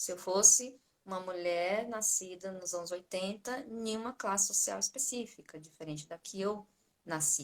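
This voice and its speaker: A woman's medium-pitched voice with a Bahian accent and ordinary pitch variation. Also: big swings in loudness. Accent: Bahian Brazilian Portuguese. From Bahia, northeastern Brazil. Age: 40s. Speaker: psychology lecturer. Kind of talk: online course launch live talk. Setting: live stream.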